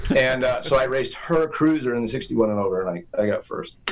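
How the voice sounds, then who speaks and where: Here a man at medium pitch talks at a moderate pace in an ordinary speaking voice. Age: 60s. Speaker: BMX racer, hall of famer. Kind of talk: casual chat. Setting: studio.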